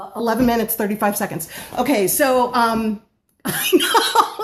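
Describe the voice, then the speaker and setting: The speaker is a woman whose pitch sits fairly high. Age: 50s. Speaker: home-based baker. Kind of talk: live stream talk. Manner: fast.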